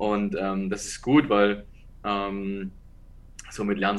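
This man speaks with a fairly low pitch. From Saxony, Dresden. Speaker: American football head coach. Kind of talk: interview.

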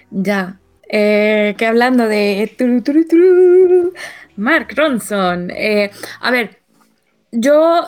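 The speech moves at a very slow pace with long, frequent pauses. The pitch swings very widely. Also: woman, fairly high pitch for a woman. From Mexico. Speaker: podcast co-host. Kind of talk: casual chat.

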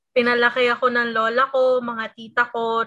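Her voice is high. The woman speaks at a moderate pace in a very clean recording with a silent background. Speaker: student podcast co-host. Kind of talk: interview.

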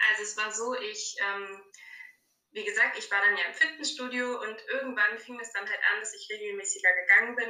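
With audible room echo, a woman talks fairly quickly in a bright, sharp tone, her fairly high pitch held in fairly even intonation. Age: 20s. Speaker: fitness coaching client, trainee childcare worker. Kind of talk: casual interview.

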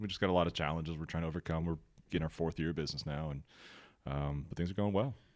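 A man with a very deep, low pitch and ordinary pitch variation at a very fast pace, in a very clean recording with a silent background. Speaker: podcast host. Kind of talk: casual chat.

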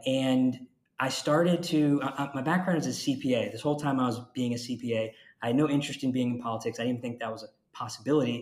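Using an ordinary speaking voice, this man talks fairly quickly with fairly even intonation and a medium pitch. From Jacksonville, Florida. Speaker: county commissioner. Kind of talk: interview.

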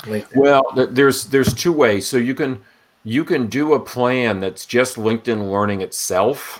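A normal speaking voice from a man, medium in pitch, at a moderate pace with ordinary pitch variation. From Rhode Island, US. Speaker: data science instructor. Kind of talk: casual interview.

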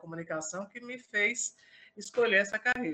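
A woman speaks in a bright, sharp tone. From interior of Paraíba, Brazil. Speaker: political journalist. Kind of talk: interview. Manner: hesitant, many repetitions.

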